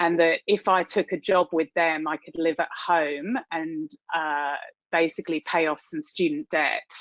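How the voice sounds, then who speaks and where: A woman speaks at a fairly low pitch and a fairly slow pace, with fairly even intonation. The sound is dry and close with no echo, over a quiet background. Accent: British. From UK. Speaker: tech executive, keynote speaker. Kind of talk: keynote talk. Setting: virtual event.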